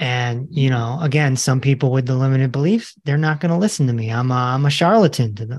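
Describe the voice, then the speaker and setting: His voice comes across as somewhat breathy. The man talks rather quickly, his pitch moving a normal amount. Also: medium pitch for a man, hardly any pauses. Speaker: holistic health doctor and author. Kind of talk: interview. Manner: animated.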